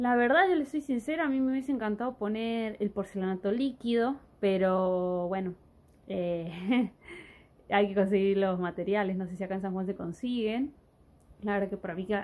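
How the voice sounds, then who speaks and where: Moderate pace and ordinary pitch variation from a woman. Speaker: vlogger living in the countryside. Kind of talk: casual vlog chat. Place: home room. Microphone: phone near.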